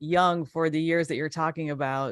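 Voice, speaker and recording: Recorded dry and close with no echo, a woman with an American accent uses a plain, everyday voice, fairly low in pitch with ordinary pitch variation. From Chicago area, Illinois. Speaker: interviewer. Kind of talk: interview. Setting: live online show.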